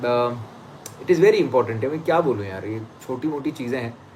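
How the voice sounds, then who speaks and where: This man talks at a medium pitch. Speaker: astrologer. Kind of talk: live stream chat. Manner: fast.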